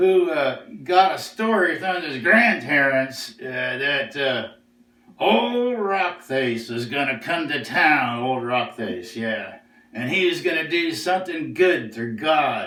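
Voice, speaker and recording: At a fairly slow pace, a man performs a put-on character voice at a fairly high pitch. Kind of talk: storytelling.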